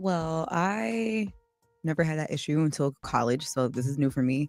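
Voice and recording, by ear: A woman with a very deep, low pitch, lively intonation and very even loudness, at a moderate pace over music in the background.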